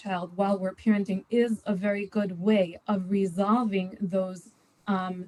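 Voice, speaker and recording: A woman with a medium pitch speaks in a dark, mellow, somewhat breathy tone, her intonation fairly even. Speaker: parenting panelist. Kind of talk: live panel Q&A. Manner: fast.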